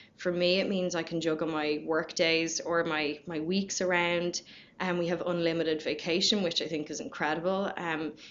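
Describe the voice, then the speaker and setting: A woman's fairly low voice at a moderate pace. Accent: Dublin. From Ireland, Dublin. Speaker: company culture manager. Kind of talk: casual chat.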